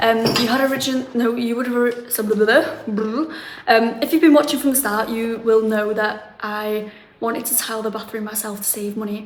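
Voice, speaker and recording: A fairly quick woman's voice at a fairly high pitch, with big swings in loudness, audible room echo and noticeable background noise. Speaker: renovation vlogger. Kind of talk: casual vlog.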